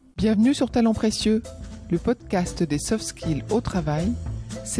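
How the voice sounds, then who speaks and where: A woman talks at a very slow pace with music playing in the background. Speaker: podcast host. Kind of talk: podcast interviewer.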